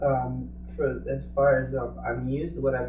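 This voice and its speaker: A man speaks at a moderate pace, his voice carrying audible room echo and noticeable background noise. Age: young. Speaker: singer-songwriter. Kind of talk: interview. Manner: halting.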